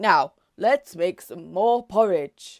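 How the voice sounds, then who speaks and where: A woman puts on a growling character voice at a medium pitch. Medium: read story.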